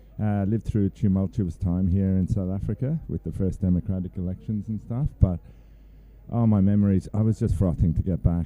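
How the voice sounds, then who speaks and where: A man's dark, mellow tone moves at a moderate pace with ordinary pitch variation. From Ireland. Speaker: kneeboarding team member. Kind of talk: casual interview.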